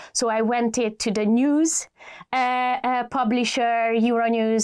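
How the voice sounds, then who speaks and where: A woman's fairly high-pitched voice with a Hungarian accent, in a very clean recording with a silent background. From Hungary. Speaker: adtech executive. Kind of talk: podcast interview. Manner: hesitant, many fillers.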